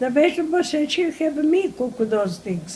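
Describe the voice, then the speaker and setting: With a Greek accent, a woman speaks at a fairly slow pace and swings her pitch very widely over noticeable background noise. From Crete, Greece. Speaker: elderly immigrant interviewee. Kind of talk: oral history interview. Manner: halting.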